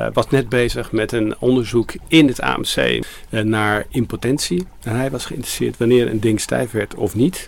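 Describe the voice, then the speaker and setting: With an ordinary speaking voice at medium pitch, a man talks at a fairly slow pace with ordinary pitch variation and hardly any pauses. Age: 60s. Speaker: shop co-founder. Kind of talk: recorded interview.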